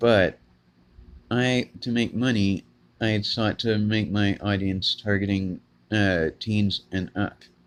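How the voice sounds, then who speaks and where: A man's fairly low voice at a very slow pace, with fairly even intonation. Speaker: small gaming YouTuber. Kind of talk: casual talk to camera. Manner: monotonous, flat; flat, unemotional delivery.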